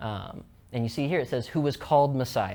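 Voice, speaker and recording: His pitch variation is ordinary. The male speaker moves at a fairly quick pace. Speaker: student presenter. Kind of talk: lecture. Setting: presentation to a live audience. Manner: fast; casual.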